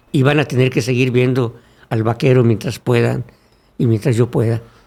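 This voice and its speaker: A man's dark, mellow tone sits at medium pitch, with fairly even intonation and a moderate pace. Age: 60s. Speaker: former legislator and congress staff member, communicator. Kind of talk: podcast interview.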